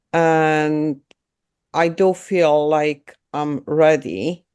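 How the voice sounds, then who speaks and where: This woman has a very deep, low pitch. She speaks with a non-native accent. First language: not English. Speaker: art student. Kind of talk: audience question. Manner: halting.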